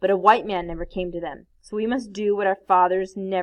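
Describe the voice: With fairly even intonation, the passage is read aloud plainly.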